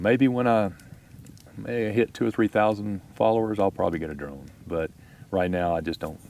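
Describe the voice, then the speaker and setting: The speaker is a man moving at a fairly quick pace. His pitch varies in an ordinary way. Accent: Texas. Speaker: YouTube camping vlogger. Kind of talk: podcast interview. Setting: outdoors at campsite.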